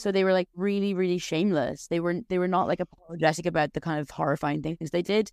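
Using an Irish accent, a woman of medium pitch talks at a very fast pace with ordinary pitch variation in a dry, close sound with no echo. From Ireland. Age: 30s. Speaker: novelist. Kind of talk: casual interview. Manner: hesitant, many fillers.

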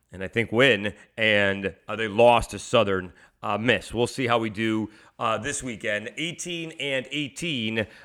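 Delivered fairly slowly, a plain, everyday voice shows ordinary pitch variation. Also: man. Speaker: sports radio host. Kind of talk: sports preview podcast monologue. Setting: media days event for interview.

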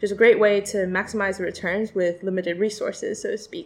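A plain, everyday voice with an American accent moves at a fairly quick pace. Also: woman. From China and the US. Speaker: PhD student and conservation project coordinator. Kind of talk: interview.

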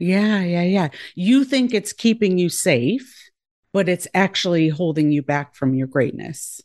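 Against a quiet background, a woman speaks at a fairly slow pace and a fairly low pitch, with lively intonation and very even loudness. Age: 40s. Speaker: former pediatrician and life coach. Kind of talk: casual podcast interview. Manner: warm, funny, animated.

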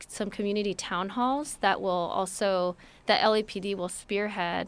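An ordinary speaking voice from a woman with an American accent, medium pitch and fairly even intonation, in a very clean recording with a silent background. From Los Angeles, US. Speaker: city immigrant affairs director. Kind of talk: interview.

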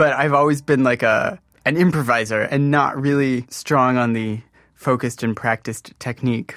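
A man with an American accent has a plain, everyday voice, a medium pitch and fairly even intonation. He talks at a moderate pace in a very clean recording with a silent background. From US Midwest and California (Modesto). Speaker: composer. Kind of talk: interview.

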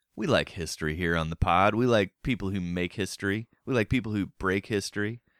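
Heard on a very clean recording with a silent background and a dry, close sound with no echo, a man in an ordinary speaking voice talks at a fairly quick pace with fairly low pitch and ordinary pitch variation. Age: middle-aged. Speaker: trivia podcast host. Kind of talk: casual chat with trivia quiz.

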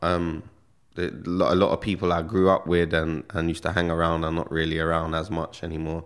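A man talks in a very deep, low voice. The recording is very clean, with a silent background. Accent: London. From London, England (Stonebridge, northwest London). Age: 30s. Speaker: rapper. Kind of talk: casual interview.

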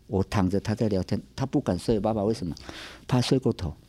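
The man's medium-pitched voice has a dark, mellow tone and a dry, close sound with no echo. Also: very clean recording, silent background. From Taiwan, central mountains, Atayal village. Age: 60s. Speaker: church elder and rural medical driver. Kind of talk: life story interview. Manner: halting, many fillers and repetitions.

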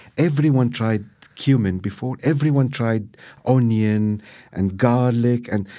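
A man speaks with an Arabic accent at medium pitch and a very slow pace, his tone dark and mellow. Pitch variation is ordinary, and the recording is very clean with a silent background. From Syria. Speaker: chef and restaurateur. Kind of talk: interview. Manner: halting.

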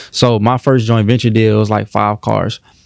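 This man has an ordinary speaking voice, fairly low in pitch, with fairly even intonation and a fairly quick pace. The sound is dry and close with no echo over a quiet background. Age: 20s. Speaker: entrepreneur and credit educator. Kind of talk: podcast interview.

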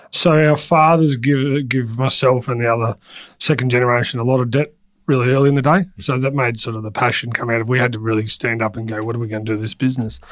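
Talking very fast, a man with an Australian accent keeps his intonation fairly even. His pitch sits in the medium range. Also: very clean recording, silent background. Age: 40s. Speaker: transport company CEO. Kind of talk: interview.

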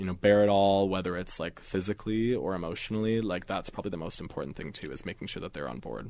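This man has a very deep, low pitch with ordinary pitch variation. The background is quiet. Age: 20s. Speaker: magazine digital director. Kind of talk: casual interview.

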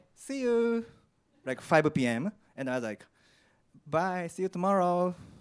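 In a Japanese accent, a man with a fairly high pitch speaks in very wide pitch swings. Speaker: particle physicist. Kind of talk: live storytelling. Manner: halting.

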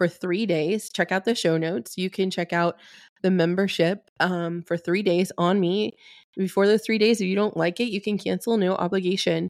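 A woman with a normal speaking voice talks at a moderate pace and fairly even intonation, in a dry, close sound with no echo on a very clean recording with a silent background. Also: medium pitch for a woman. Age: 40s. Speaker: podcast host and Reiki healer. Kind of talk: solo podcast monologue; promotional pitch.

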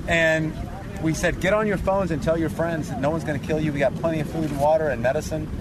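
Noticeable background noise sits behind a man with an American accent. He talks at a very fast pace, at a fairly high pitch with ordinary pitch variation. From US. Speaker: relief worker, former army officer. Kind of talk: field interview. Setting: outdoors.

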